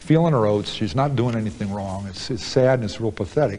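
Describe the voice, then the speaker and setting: In an American accent, a man of medium pitch talks at a fairly quick pace with lively intonation and a normal speaking voice. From United States. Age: 40s. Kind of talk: interview answer. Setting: prison.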